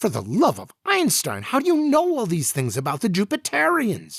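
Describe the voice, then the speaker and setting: A man speaks at a moderate pace in a high-pitched, put-on character voice. The recording is very clean, with a silent background. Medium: read story. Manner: bewildered, exclamatory.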